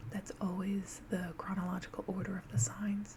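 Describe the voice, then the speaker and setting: A soft-spoken voice moves at a fairly slow pace over noticeable background noise. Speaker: astrology explainer. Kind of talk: ASMR tutorial.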